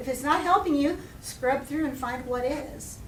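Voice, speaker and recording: A woman speaks with audible room echo. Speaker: education professor and center director. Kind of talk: guest lecture to a class. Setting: classroom with audience. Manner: fast; loud.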